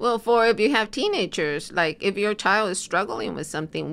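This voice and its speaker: A woman talks at a moderate pace with lively intonation and vocal fry. The recording is very clean and the background silent. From US, immigrated at 13. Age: 60s. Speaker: family and marriage therapist. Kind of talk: interview conversation.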